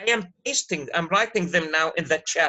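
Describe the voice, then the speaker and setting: A man is talking here. His voice is pitched high. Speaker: university lecturer. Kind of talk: online lecture. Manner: repetitive, conversational.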